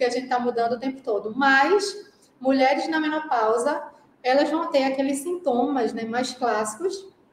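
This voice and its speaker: A woman speaks in a strong Pernambuco accent. Her pitch is high. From Brazil, Pernambuco (Recife). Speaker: Ayurveda practitioner. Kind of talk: casual interview.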